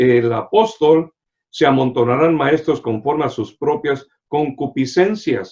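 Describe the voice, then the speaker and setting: A man's fairly high voice with lively intonation. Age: 60s. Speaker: pastor. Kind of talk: sermon. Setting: online broadcast via social media.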